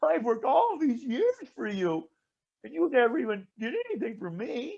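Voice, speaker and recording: In a put-on character voice, a man whines at an extremely high pitch and a moderate pace. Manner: whiny, complaining.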